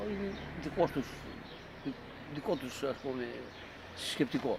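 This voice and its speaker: A man at a moderate pace, his intonation lively, over noticeable background noise. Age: 80s+. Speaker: war survivor. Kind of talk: testimony. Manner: halting.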